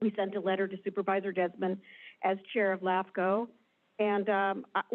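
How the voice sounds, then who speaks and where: A woman talks at a moderate pace in a medium pitch, her intonation monotone and flat. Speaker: planning group chair. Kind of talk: public comment. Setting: public meeting with audience.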